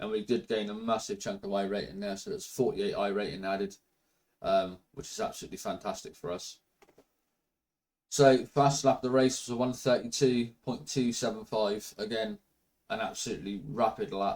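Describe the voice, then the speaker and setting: Moderate in pace, a man speaks in an ordinary speaking voice at medium pitch. His intonation is lively. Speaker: sim racing video creator. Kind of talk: casual commentary over gameplay.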